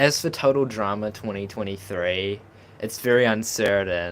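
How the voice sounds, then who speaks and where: A man speaks in a New Zealand accent with a fairly low pitch. His tone is animated. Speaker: streamer. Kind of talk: live stream chat. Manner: casual, animated.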